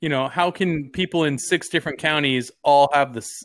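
In a very clean recording with a silent background, a man speaks with a normal speaking voice. His pitch is fairly high and his pace fairly slow. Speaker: podcast host. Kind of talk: casual banter. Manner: casual, rambling, profane.

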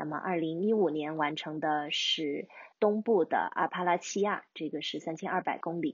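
A woman speaks at a moderate pace with a fairly low pitch and ordinary pitch variation. It is a normal speaking voice. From China, urban. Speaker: long-distance hiker. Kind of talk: interview.

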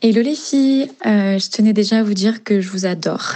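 A woman speaks at a medium pitch. Her voice sounds somewhat breathy. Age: 20s. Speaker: listener leaving voice message. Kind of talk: voice message.

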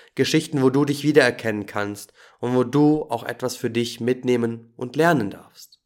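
A man with an unremarkable speaking voice, medium pitch, fairly even intonation, a moderate pace and big swings in loudness. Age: 20s. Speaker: podcast host and holistic coach. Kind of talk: scripted podcast intro monologue.

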